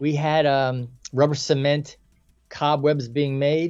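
A man speaks in an American accent. He has a plain, everyday voice. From New York, the Bronx. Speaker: filmmaker. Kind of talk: interview.

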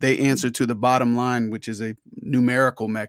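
A plain, everyday voice with an American accent uses fairly even intonation. The sound is dry and close with no echo, in a very clean recording with a silent background. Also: man. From Florida, Orlando. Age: 40s. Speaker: rapper. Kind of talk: casual chat.

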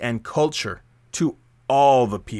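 An unremarkable speaking voice from a man, fairly high in pitch and fairly slow, with ordinary pitch variation in a very clean recording with a silent background. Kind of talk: radio DJ patter between songs, with show intros and quote readings. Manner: warm, smooth and upbeat, with a measured, welcoming pace.

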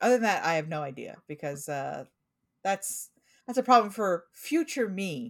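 A woman speaks with a Pacific Northwest accent at a moderate pace. Her pitch is fairly low and her intonation lively. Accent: American, Pacific Northwest.

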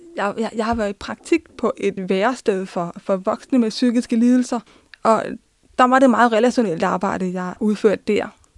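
A woman's normal speaking voice, fairly high in pitch with ordinary pitch variation at a moderate pace, in a dry, close sound with no echo. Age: 20s. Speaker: social work student. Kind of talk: personal testimony. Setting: studio.

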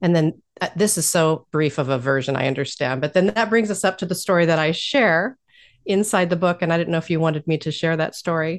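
In a normal speaking voice, a woman with an American accent talks at a fairly quick pace and fairly low pitch, with ordinary pitch variation against a quiet background. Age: 50s. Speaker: life coach and spiritual director. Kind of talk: interview.

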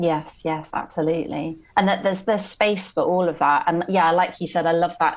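Using a normal speaking voice, a woman talks at a fairly quick pace and fairly low pitch, with fairly even intonation and hardly any pauses. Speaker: podcast host. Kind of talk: casual interview conversation.

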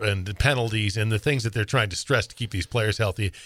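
This man's voice has a bright, sharp tone. The recording is very clean, with a silent background. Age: 50s. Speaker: podcast co-host. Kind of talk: casual chat.

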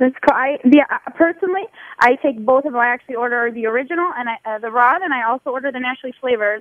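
Animated in tone, a woman talks at a very fast pace in a Midwestern US accent. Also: ordinary pitch variation. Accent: US Midwest. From Ohio, Toledo. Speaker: customer service representative reading listener questions. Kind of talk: reading listener questions on radio. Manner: fast talker.

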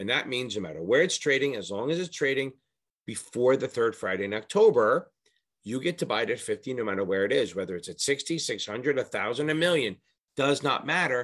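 A man at a medium pitch talks at a fairly quick pace in an animated tone with very wide pitch swings, on a very clean recording with a silent background. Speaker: exam prep tutor. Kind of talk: tutorial. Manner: fast.

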